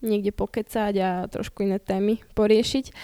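A woman's dark, mellow voice in monotone, flat intonation, dry and close with no echo, in a very clean recording with a silent background. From Slovakia, Bratislava. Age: 20s. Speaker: Olympic gymnast. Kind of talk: casual interview.

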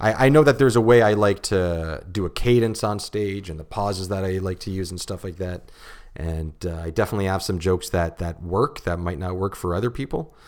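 A man with a Canadian accent talks at a fairly quick pace in a very deep, low voice with ordinary pitch variation, in a very clean recording with a silent background. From Ontario, Canada (St. Catharines). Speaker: stand-up comedian. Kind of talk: casual chat. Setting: studio.

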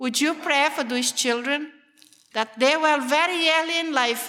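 A woman with a Brazilian Portuguese accent talks at a moderate pace in a raised, projected voice. Her tone is bright and sharp, and her pitch varies in an ordinary way. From Brazil, Amazon jungle region. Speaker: missionary. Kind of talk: testimony. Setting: church meeting with audience.

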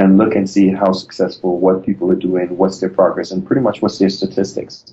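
This is a man's voice. His pitch sits fairly low. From Trinidad and Tobago. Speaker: tech startup co-founder. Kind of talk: interview.

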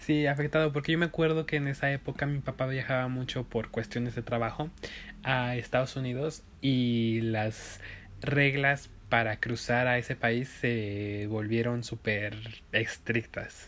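In a Mexican accent, the speaker moves at a fairly slow pace with fairly even intonation. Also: man, medium pitch for a man. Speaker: podcast co-host. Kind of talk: casual chat.

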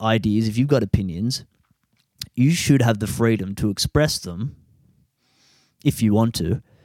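A man's medium-pitched voice at a fairly slow pace, with lively intonation and a dry, close sound with no echo. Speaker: podcaster. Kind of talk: angry rant. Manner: ranting, swearing, frustrated; rambling, halting, casual.

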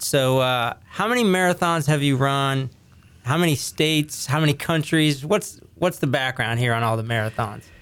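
On a very clean recording with a silent background, a man with an American accent uses a normal speaking voice, fairly high in pitch with ordinary variation, at a moderate pace and very even loudness. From US, Ohio Valley, northern West Virginia. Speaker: podcast host. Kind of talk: casual interview.

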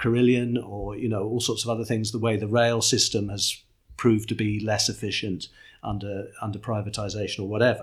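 Over a very clean recording with a silent background, a man talks at medium pitch and moderate pace with fairly even intonation. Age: 60s. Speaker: political communications strategist, former journalist. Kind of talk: interview. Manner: repetitive, halting restarts.

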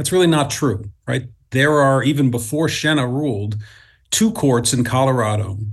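Speaking with an American accent, this voice comes across somewhat breathy. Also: man, medium pitch for a man, ordinary pitch variation, moderate pace. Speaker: former mayor and state senator, politician. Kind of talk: interview.

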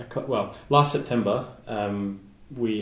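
With an Australian accent, a man talks at a fairly low pitch amid audible room echo. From Southeast Australia. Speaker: volcanologist and geologist. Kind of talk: interview. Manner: halting.

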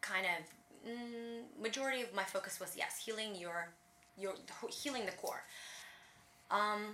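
Someone with a Russian accent talks at a fairly slow pace with ordinary pitch variation and long, frequent pauses, in a room with audible echo. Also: woman. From Latvia (Riga), Russian-speaking. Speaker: personal trainer, former professional dancer. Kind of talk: interview.

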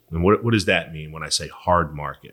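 Here a man speaks with an American accent. His pitch is very deep and low. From Philadelphia, US. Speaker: insurance agent. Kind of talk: interview.

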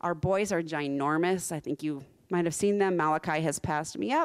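In an unremarkable speaking voice with an American accent, a woman talks at a moderate pace and a fairly low pitch with ordinary pitch variation, on a very clean recording with a silent background. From US South, Central Florida. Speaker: missionary. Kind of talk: sermon. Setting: church with live audience.

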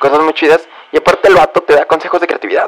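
A man with a Mexican accent speaks over noticeable background noise. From Mexico. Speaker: podcaster. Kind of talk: casual monologue. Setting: bedroom at home.

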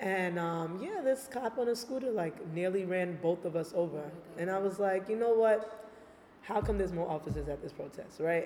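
A woman with an American accent speaks at a moderate pace in a medium pitch, with noticeable background noise. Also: ordinary pitch variation. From Brooklyn, New York. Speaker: visual artist. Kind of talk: casual interview chat.

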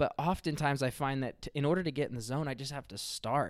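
This man's pitch rises and falls in an ordinary way. Nothing can be heard behind him in the very clean recording. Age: 30s. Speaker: podcast host and author. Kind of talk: motivational monologue. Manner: casual, animated.

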